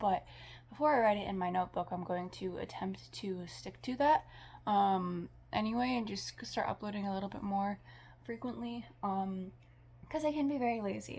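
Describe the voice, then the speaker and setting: Her voice is somewhat breathy and sits at a medium pitch for a woman. She moves at a moderate pace with very wide pitch swings. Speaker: podcaster vlogger. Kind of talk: casual monologue vlog. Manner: halting, stutters, many fillers.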